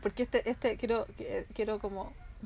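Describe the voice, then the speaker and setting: Here a woman speaks at a fairly high pitch. Her intonation is monotone and flat. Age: 40s. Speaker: podcast co-host. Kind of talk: casual chat.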